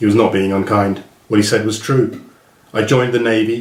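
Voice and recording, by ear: A text is being read out loud. The voice is natural.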